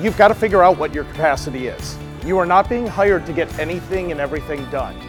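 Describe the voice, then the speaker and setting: With music in the background, a man with a high pitch talks at a fairly quick pace in an energetic tone. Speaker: keynote speaker. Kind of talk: presentation to live audience. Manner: energetic, fun.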